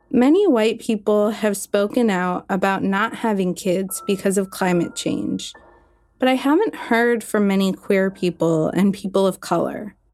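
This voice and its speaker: A woman with an ordinary speaking voice talks at a fairly slow pace, her loudness very even and her pitch variation ordinary. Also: medium pitch for a woman. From US Northeast (Maine). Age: 20s. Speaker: writer and climate communicator. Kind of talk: scripted narration.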